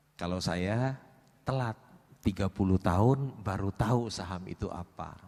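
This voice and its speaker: An unremarkable speaking voice from a man with fairly low pitch and ordinary pitch variation. His pace is fairly slow, and the sound is dry and close with no echo. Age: 60s. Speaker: stock investor. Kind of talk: seminar interview.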